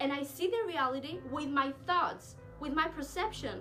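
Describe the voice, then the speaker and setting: Music plays in the background. The speaker moves at a moderate pace with very wide pitch swings. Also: woman. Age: young. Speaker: self-love and mindset vlogger. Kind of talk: casual self-help talk to camera.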